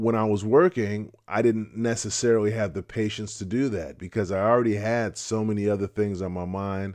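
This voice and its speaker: A man speaks at a moderate pace in a fairly low voice. His intonation stays fairly even, and the background is quiet. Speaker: retiree vlogger. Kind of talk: casual vlog chat. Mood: calm, reflective. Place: home room. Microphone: studio mic.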